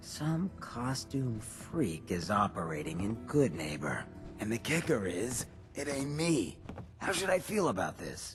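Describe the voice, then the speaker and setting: A man puts on a character voice at a medium pitch, speaking at a fairly slow pace over clear music in the background. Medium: machinima. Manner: laid-back, wry.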